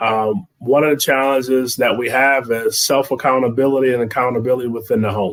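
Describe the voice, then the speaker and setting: In an American accent, a man talks at a medium pitch and a fairly quick pace, with hardly any pauses. His intonation is fairly even, and he has an unremarkable speaking voice. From Detroit. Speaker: business co-founder. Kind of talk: panel discussion.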